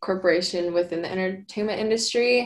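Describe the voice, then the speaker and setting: Here is a woman with a plain, everyday voice at a medium pitch. Her intonation stays fairly even. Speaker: social media video editor. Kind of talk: casual chat.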